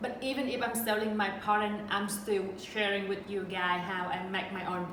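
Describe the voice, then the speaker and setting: A woman's fairly even intonation in a Vietnamese accent, amid noticeable background noise and audible room echo. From central Vietnam. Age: 30s. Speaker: sewing YouTuber. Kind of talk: casual Q&A vlog.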